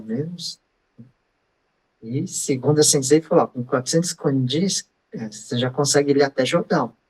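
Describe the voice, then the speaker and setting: Recorded dry and close with no echo, a man speaks slowly in a fairly high, somewhat breathy voice with ordinary pitch variation. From Brazil. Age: 70s. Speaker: bodybuilder, social media personality. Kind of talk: interview answer. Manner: casual, conversational.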